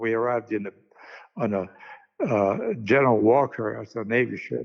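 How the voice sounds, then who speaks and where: With vocal fry and fairly even intonation, a man talks at a moderate pace and a medium pitch. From Hungary, Debrecen. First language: Hungarian. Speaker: actor and author. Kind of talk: interview. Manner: halting.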